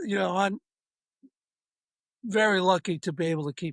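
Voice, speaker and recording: A man with a high pitch speaks with ordinary pitch variation. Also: dry, close sound with no echo. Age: 70s. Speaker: author and golf parent. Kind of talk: casual interview.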